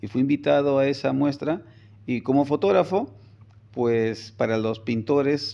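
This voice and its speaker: A man's dark, mellow-toned voice. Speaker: photographer and communications professor; interviewee. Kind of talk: interview. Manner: hesitant repetitions. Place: office. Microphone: phone near.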